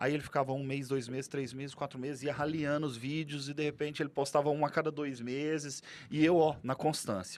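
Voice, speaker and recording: A man talks with a strong Goiás accent. His pitch is fairly high. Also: hardly any pauses. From Goiás, central Brazil. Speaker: real estate broker and content creator. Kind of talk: podcast interview. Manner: animated, casual.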